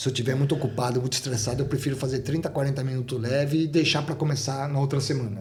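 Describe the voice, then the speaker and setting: The speech runs at a very fast pace with hardly any pauses and fairly even intonation. Noticeable background noise sits behind it. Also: man, medium pitch for a man. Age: 60s. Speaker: ultramarathon runner. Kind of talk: interview.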